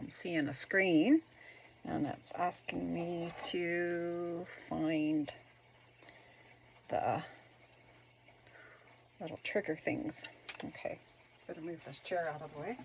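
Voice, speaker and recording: Over noticeable background noise, a woman with a fairly low pitch speaks very slowly, with long, frequent pauses. Her loudness swings widely, while her pitch varies in an ordinary way. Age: old. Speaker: senior citizen. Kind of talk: casual unboxing talk to camera.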